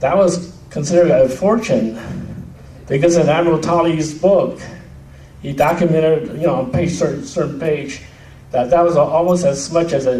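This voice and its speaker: Speaking at a moderate pace with fairly high pitch and ordinary variation, a man is heard amid audible room echo and noticeable background noise. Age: 60s. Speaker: veterans' family member speaker. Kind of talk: reunion speech.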